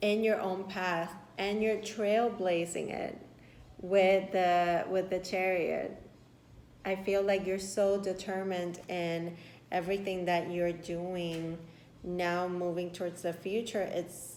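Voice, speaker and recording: The speaker talks at a very slow pace with a Spanish accent. The intonation is monotone and flat, and there is audible room echo. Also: woman, medium pitch for a woman. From Puerto Rico. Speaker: tarot reader. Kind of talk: tarot reading. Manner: warm, affirming.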